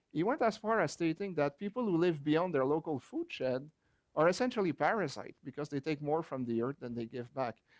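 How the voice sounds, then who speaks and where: Against a quiet background, a man speaks at a fairly quick pace and fairly high pitch in a French Canadian accent, his intonation lively and the sound dry and close with no echo. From rural Quebec, Canada. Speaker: geography professor and author. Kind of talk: book launch talk.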